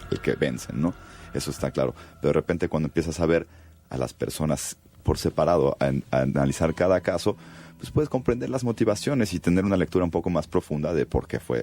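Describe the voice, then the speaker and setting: Very fast and lively in intonation, a man talks with a very deep, low pitch, a dark, mellow tone, and vocal fry, the sound dry and close with no echo. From Mexico City. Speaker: film director. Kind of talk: radio interview. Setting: radio studio.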